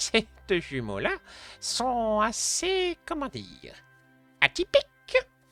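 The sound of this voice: In a put-on character voice with fairly high pitch, the speaker goes at a very slow pace with long, frequent pauses, as faint music plays in the background.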